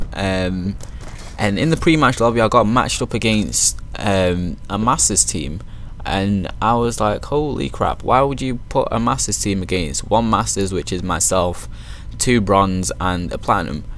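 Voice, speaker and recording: A man with a British accent talks at a fairly slow pace, his pitch fairly low and his intonation lively. The recording has audible room echo and noticeable background noise. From Manchester, northern England. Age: 20s. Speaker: gaming YouTuber and team founder. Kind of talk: casual video intro over gameplay.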